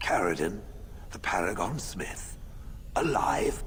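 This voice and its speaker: A man shouts in a put-on character voice at a fairly slow pace. Clear background noise is present. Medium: video game. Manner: formal, stiff.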